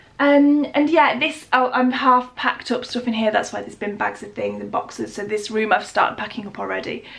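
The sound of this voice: A woman speaks at a moderate pace with fairly even intonation and a fairly high pitch. Her tone is fairly bright, with some vocal fry.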